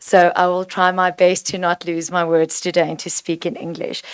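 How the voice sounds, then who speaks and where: A woman's medium-pitched voice with a South African accent. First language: Afrikaans. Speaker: provincial legislator. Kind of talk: committee meeting question.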